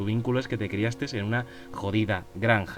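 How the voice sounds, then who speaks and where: Music plays in the background as a man talks at a moderate pace. His pitch variation is ordinary. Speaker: podcast host on fantasy worldbuilding. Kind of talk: casual solo podcast monologue. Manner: halting, some stammering.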